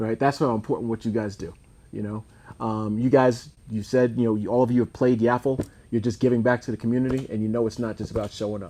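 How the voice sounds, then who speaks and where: In an American accent, a man speaks very fast in a monotone, flat intonation with a dark, mellow tone. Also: medium pitch for a man. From US East Coast. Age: 60s. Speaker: youth football league director and show host. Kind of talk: casual interview.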